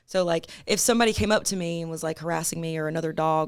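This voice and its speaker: Speaking very fast, a woman with an American accent has a very deep, low pitch. The recording is very clean with a silent background. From US South, North Mississippi. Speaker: singer-songwriter. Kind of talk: podcast interview. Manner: casual, hesitant with fillers.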